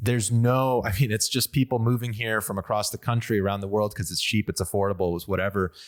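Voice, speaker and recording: In a Western US accent, a man with a fairly low pitch talks at a very fast pace with hardly any pauses and fairly even intonation, in a very clean recording with a silent background and a dry, close sound with no echo. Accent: American, western US. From Las Vegas, US. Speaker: podcast host. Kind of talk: casual conversation.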